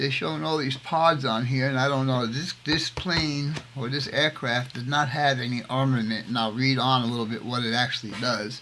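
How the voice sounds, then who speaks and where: Through noticeable background noise, a man talks at a moderate pace and medium pitch with ordinary pitch variation. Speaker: scale model builder, navy veteran. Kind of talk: hobby tutorial. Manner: casual, halting with fillers.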